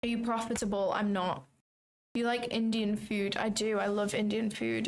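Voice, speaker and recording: A woman with a British accent, fairly high in pitch, at a moderate pace, with fairly even intonation and very even loudness. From England. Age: 20s. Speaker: trading streamer. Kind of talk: live stream commentary. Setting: livestream from home. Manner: casual, chatty.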